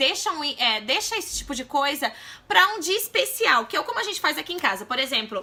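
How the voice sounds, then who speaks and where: Over noticeable background noise, a woman uses a raised, projected voice with very wide pitch swings. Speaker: mom vlogger. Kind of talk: casual vlog talk to camera. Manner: fast.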